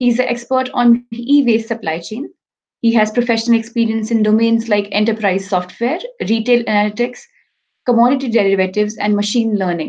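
A woman with a fairly high, somewhat breathy voice speaks at a fairly quick pace. Her intonation stays fairly even. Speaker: conference moderator and researcher; conference moderator. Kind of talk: moderating an online conference. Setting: online video conference. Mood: polite, measured, some hesitations. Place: home room. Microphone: webcam.

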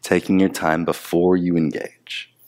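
Very deep and low, a man's voice moves at a very slow pace with monotone, flat intonation and a gentle, soothing tone. The background is quiet. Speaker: yoga instructor. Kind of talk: guided movement class, calm instructional cueing. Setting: home or studio, on a mat, video. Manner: slow, soothing, unhurried; gentle, repetitive cues with pauses. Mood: calm, soothing guidance.

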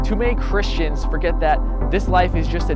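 Loud music plays behind a man whose voice sounds dry, with no echo. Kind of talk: spoken word poetry performance. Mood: earnest, challenging religious message. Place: forest. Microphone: lapel.

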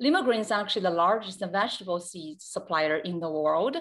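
The pitch varies in an ordinary way over a quiet background. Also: woman. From China. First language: Chinese. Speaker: company executive. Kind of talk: panel presentation. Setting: video call. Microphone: video call.

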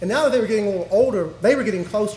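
A man's voice carries audible room echo. Light background noise is also present. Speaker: speaker. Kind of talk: speech at an awards ceremony. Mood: warm, reflective. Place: hall. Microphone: podium.

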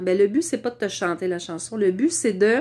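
In a Quebec accent, a woman speaks at a fairly slow pace with ordinary pitch variation. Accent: Québécois French. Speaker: vlogger; wellness vlogger. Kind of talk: casual monologue to camera. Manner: hesitant, many fillers. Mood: warm, reflective. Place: home room. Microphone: lapel.

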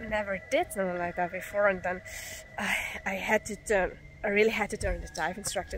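Music plays behind a woman whose voice sounds dry, with no echo. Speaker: travel vlogger. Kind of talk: casual vlog chat. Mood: excited, relieved after the dive. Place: forest. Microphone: phone near.

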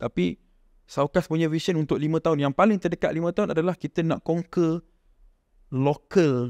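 Against a quiet background with a dry sound and no echo, a man with a fairly high pitch talks at a moderate pace, using ordinary pitch variation and long, frequent pauses. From Malaysia. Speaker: founder of a local shoe brand; podcast guest. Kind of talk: casual chat. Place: home room. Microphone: studio mic.

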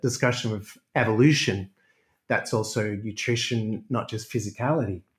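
A man's somewhat breathy, medium-pitched voice with an Australian accent, moderate pace and ordinary pitch variation, on a very clean recording with a silent background. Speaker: exercise and pain specialist. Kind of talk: interview.

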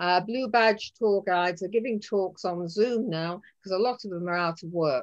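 Over a quiet background, a woman speaks at a moderate pace. Her pitch varies in an ordinary way. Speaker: tour guide giving a talk. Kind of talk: lecture. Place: home room. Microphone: video call.

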